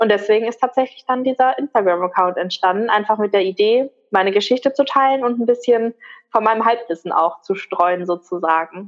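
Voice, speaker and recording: A woman with an unremarkable speaking voice talks at a fairly quick pace, with fairly high pitch, ordinary pitch variation and very even loudness. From Ruhr area, Germany. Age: 20s. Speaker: migraine patient sharing her story. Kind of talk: interview.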